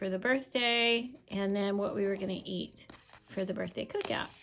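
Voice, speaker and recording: Using an unremarkable speaking voice, a woman at medium pitch talks at a moderate pace with ordinary pitch variation. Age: 60s. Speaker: planner and journaling YouTuber. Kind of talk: casual product flip-through.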